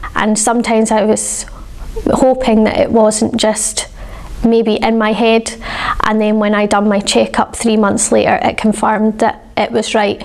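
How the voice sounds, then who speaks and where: Her loudness stays very even, and her intonation is monotone and flat. The woman speaks at a fairly slow pace. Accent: Scottish. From Scotland. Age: 20s. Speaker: patient. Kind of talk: patient testimonial. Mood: calm, positive. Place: home room. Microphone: lapel.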